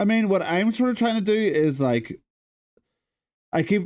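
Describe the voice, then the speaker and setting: A man's lively intonation comes through on a very clean recording with a silent background. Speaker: streamer. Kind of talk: casual chat. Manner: soft-spoken; halting.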